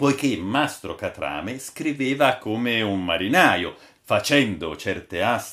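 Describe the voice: The text is read aloud. The reading is plain.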